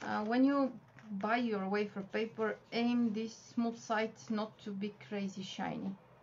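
A woman at a fairly slow pace, with a Bulgarian accent and fairly even intonation, over light background noise. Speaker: wafer paper flower artist and teacher; cake decorating instructor. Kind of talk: tutorial. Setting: live video stream from home. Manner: halting, many fillers. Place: home room.

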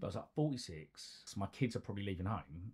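A man talks at a fast pace with lively intonation, his fairly low voice carrying a slightly mellow tone and a slightly husky edge.

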